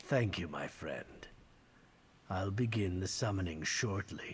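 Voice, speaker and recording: A man in a put-on character voice, fairly low in pitch, at a fairly slow pace. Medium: video game. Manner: formal, measured.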